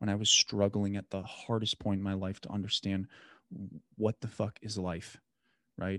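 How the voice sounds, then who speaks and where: Against a quiet background, a man speaks at a fairly low pitch, the sound dry and close with no echo. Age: 30s. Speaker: podcast host. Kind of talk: casual chat.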